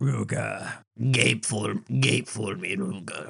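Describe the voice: In a raspy, put-on character voice, the speaker goes at a very slow pace. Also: man.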